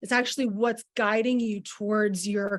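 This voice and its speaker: On a very clean recording with a silent background, a woman with a fairly high voice speaks fairly slowly with ordinary pitch variation. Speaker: wellness coach. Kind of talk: masterclass presentation. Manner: animated.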